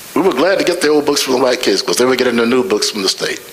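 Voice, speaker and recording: A man with an American accent talks as noticeable noise fills the background. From US South. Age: 80s+. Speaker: scholar and author. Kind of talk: panel dialogue.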